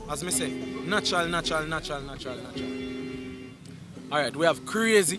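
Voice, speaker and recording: Over music in the background, a man with a Jamaican accent talks at a fairly high pitch with ordinary pitch variation. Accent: Jamaican Patois. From St Thomas, Jamaica. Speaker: dancehall artist. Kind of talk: interview answer. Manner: casual.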